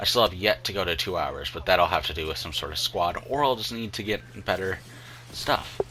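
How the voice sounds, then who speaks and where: Lively intonation marks this man's speech. Noticeable background noise is present. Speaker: gaming youtuber. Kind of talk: gameplay commentary. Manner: halting, many fillers.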